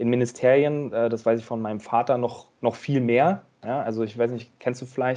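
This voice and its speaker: A man at a medium pitch talks at a moderate pace with a dark, mellow tone and fairly even intonation. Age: 30s. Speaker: management consultant. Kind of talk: interview. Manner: halting, frequent word repetitions.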